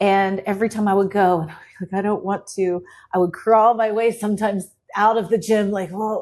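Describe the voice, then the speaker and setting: A woman speaks at a fairly quick pace and medium pitch, in an ordinary speaking voice. The background is quiet. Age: 40s. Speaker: economist and educator. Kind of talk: interview conversation.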